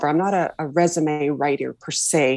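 A woman with a western Canadian accent speaks with ordinary pitch variation. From Canada, Vancouver. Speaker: leadership coach. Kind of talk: interview conversation. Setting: video call.

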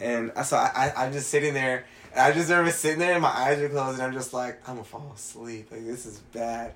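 A man with an American accent talks at a very fast pace with hardly any pauses, his loudness swinging widely over noticeable background noise. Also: medium pitch for a man, ordinary pitch variation. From Mexican heritage, US. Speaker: podcast co-host. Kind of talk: casual chat.

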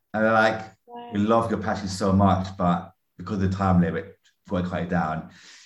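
The speaker has a London accent and fairly even intonation. The pace is moderate. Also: man. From North London, Greek Cypriot family. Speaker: musician and educator. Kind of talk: casual interview. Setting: remote call.

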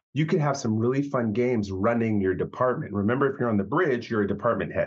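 An ordinary speaking voice with lively intonation over a quiet background. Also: man. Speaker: podcast co-host and freelance game writer. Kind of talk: casual chat. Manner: relaxed, conversational.

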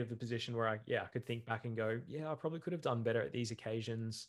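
Here a man speaks with an Australian accent. His pitch sits in the medium range. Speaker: bodybuilding podcast co-host. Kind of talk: casual chat. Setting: video call.

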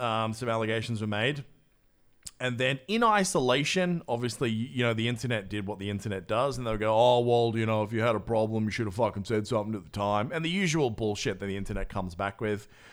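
This man talks at a very fast pace with an Australian accent. His pitch variation is ordinary. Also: medium pitch for a man. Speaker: podcast host. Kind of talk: casual chat. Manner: animated.

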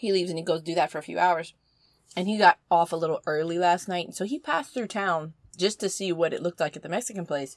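Recorded with a dry, close sound and no echo, a woman with an American accent talks at a very fast pace in a fairly low pitch with ordinary pitch variation. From US South. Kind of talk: casual chat.

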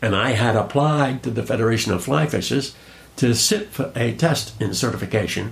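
The speaking pace is moderate. Pitch swings very widely from high to low. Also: man. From Rhode Island. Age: 80s. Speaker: fly casting instructor. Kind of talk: casual interview conversation.

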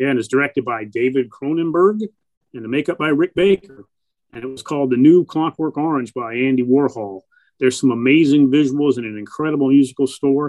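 A man speaks at a fairly quick clip in a plain, everyday voice, pitched fairly high, with ordinary pitch variation and big swings in loudness. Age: 50s. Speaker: horror TV show host and filmmaker. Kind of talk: casual interview chat.

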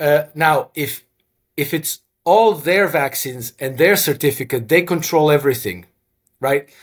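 A man with a fairly high pitch delivers his words at a fairly slow pace. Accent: Croatian. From Croatia. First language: Croatian. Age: 50s. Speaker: former hedge fund manager and author. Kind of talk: interview. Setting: video call.

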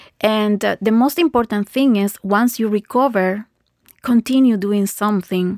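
A woman with a Spanish accent speaks at a medium pitch and fairly slow pace. The sound is dry and close, with no echo. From Guatemala. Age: 40s. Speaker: facial yoga teacher. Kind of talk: interview.

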